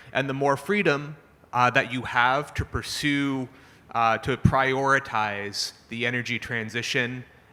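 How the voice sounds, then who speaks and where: A man speaks loudly at a fairly slow pace. His voice has a medium pitch and a bright, sharp tone. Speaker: panelist, climate finance executive. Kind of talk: panel discussion. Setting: conference stage with audience.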